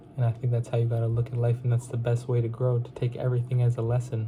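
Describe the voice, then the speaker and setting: A man with a dark, mellow tone and a medium pitch speaks very fast in a flat monotone, sounding somewhat breathy. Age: young adult, 19. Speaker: insurance sales vlogger. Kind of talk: casual motivational vlog. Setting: at parents' home. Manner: casual, repetitive filler phrases.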